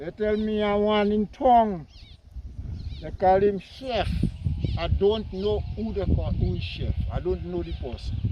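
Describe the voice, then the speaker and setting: There is noticeable background noise as a man speaks at a fairly slow pace. His pauses are long and frequent. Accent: Grenadian. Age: 60s. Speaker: farmer. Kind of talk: interview.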